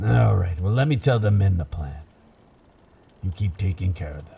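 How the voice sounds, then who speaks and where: Using a put-on character voice, a man speaks at a very deep, low pitch. His pace is moderate. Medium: audio drama. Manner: gruff, commanding, salty.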